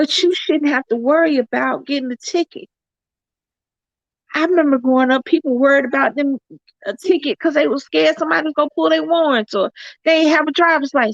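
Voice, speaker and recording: A woman with an American accent speaks at a fairly quick pace in a high voice with ordinary pitch variation. The sound is dry and close, with no echo. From US South. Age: 50s. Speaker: YouTube vlogger. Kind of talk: livestream chat.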